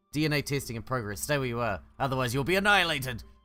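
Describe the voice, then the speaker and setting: Over faint music in the background, a man does a squeaky, put-on character voice at medium pitch and a very fast pace. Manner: threatening.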